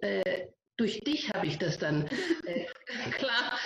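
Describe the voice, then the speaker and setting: A woman's voice with very wide pitch swings. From Germany, Greek family. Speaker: lawyer. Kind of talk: interview. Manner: halting.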